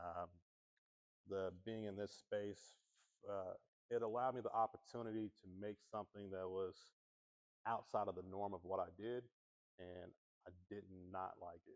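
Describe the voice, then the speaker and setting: A man with an American accent, fairly low in pitch, at a moderate pace with fairly even intonation and long, frequent pauses. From US Midwest, Kansas City area. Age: 40s. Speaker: visual artist. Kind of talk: artist talk interview. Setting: gallery with audience. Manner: halting, many restarts.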